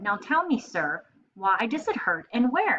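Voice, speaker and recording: A female-sounding put-on character voice, high-pitched and fairly slow, with very wide pitch swings. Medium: read story. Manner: jolly, laughing.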